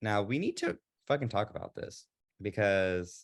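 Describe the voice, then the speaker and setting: A man's fairly low voice moves at a medium speed. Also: quiet background. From US South, Texas. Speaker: podcast co-host. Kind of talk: casual chat. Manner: animated.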